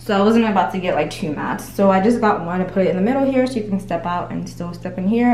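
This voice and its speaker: A woman talks at a very fast pace, her pitch varying in an ordinary way. The room echo is audible, and there is noticeable background noise. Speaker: lifestyle vlogger. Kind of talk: home tour vlog. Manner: animated.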